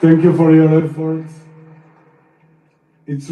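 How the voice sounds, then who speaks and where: With a non-native accent, a man with a fairly high voice speaks at a fairly slow pace amid audible room echo. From Argentina and Israel. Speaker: freed hostage. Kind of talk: testimony. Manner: halting.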